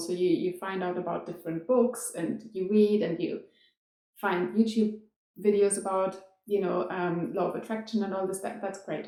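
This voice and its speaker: A woman with a non-native accent. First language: non-English (European language). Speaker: dance teacher and performer. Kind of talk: casual vlog storytelling.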